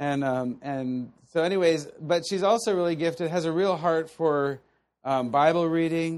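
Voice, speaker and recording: A man speaks at a moderate pace in a fairly high pitch, with ordinary pitch variation and a normal speaking voice. The background is quiet. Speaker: Bible teacher. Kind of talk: teaching session with prayer.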